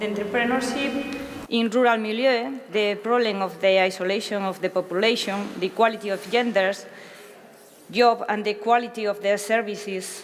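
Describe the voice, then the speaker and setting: A woman with a Spanish accent at medium pitch and moderate pace, fairly even intonation, and noticeable background noise. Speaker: interpreter. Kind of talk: consecutive interpreting. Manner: halting.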